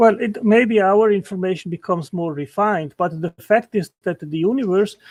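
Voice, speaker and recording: The voice belongs to a man with a non-native accent and a high pitch. The sound is dry and close with no echo, over a quiet background. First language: not English. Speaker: intelligent design apologist. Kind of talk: heated debate. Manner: halting.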